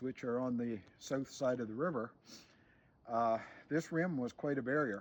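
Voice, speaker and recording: Against a quiet background, someone with a Maritime Canadian accent speaks at a fairly slow pace with ordinary pitch variation. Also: man. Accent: rural Maritime Canadian. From New Brunswick, Canada. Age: 60s. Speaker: homesteader and YouTuber. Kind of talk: outdoor show-and-tell explanation. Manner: casual with frequent fillers and repetitions.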